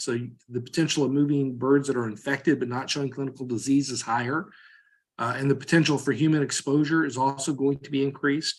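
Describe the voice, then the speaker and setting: A man with an American accent speaks at a fairly high pitch. His pace is fairly quick, his pitch variation ordinary, and the background quiet. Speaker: veterinary vaccine scientist. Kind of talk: technical presentation. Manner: fast.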